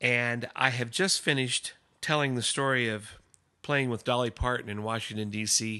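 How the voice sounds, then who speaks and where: Over a quiet background, a man with a medium pitch and a bright, sharp tone speaks at a fairly slow pace with ordinary pitch variation. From US Midwest, Omaha, Nebraska. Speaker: musician. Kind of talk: personal storytelling narration.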